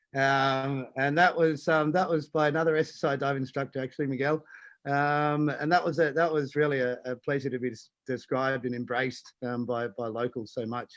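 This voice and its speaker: A man with an Australian accent talks at a fairly high pitch and a fairly quick pace, with hardly any pauses. His intonation is fairly even, and the background is quiet. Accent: Australian, still noticeable. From Australia, Tasmania. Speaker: diving instructor and conservation foundation president. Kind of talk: live-streamed interview. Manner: halting, many fillers.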